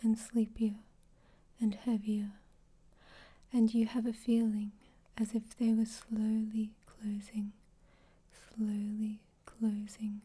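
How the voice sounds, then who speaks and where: A soft-spoken woman talks at a very slow pace with long, frequent pauses. Her fairly high voice is dark, mellow and somewhat breathy, with monotone, flat intonation. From Australia. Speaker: hypnosis ASMR performer. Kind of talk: hypnosis session.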